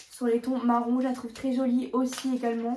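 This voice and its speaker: Her voice is high-pitched, with monotone, flat intonation. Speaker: beauty youtuber. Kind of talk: product showcase vlog. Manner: stumbling.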